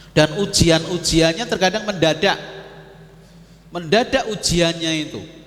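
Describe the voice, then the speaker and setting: A man speaks fairly slowly at a high pitch, with long, frequent pauses. Noticeable background noise runs underneath. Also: ordinary pitch variation. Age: 60s. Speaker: Islamic preacher. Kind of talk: religious lecture. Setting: mosque. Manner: conversational, addresses audience directly.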